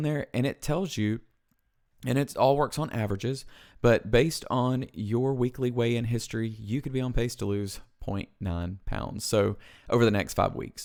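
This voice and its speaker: On a very clean recording with a silent background, a man with a Southern US accent speaks at medium pitch and a moderate pace, with ordinary pitch variation. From US South. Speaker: weight loss vlogger. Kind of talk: casual tutorial. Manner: casual, conversational with fillers.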